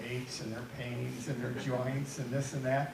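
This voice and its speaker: Over noticeable background noise, a man speaks at a medium pitch and a moderate pace. The room echo is audible. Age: 80s+. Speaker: panel speaker sharing health story. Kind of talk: panel talk with personal testimony.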